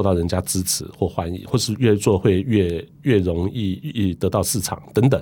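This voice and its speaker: This man's voice sits fairly low, with a dark, mellow tone. His intonation is lively. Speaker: company founder and chairman. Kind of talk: interview.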